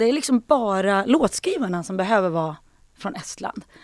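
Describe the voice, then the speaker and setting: Her pitch swings very widely as this woman speaks at a moderate pace. The recording is very clean, with a silent background. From Sweden, Hälsingland. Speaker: singer and actress. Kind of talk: casual chat.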